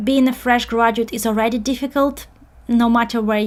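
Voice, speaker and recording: A woman's fairly high voice with a non-native accent, fairly quick and fairly even in intonation. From outside the UK. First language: not English. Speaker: career coach. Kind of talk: webinar presentation. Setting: live online webinar. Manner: hesitant, many fillers.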